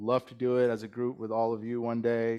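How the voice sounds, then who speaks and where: Against a quiet background, a man with a Californian accent speaks at medium pitch. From Bay Area, California. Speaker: club president. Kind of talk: speech to a club meeting. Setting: lunch meeting in a room with audience.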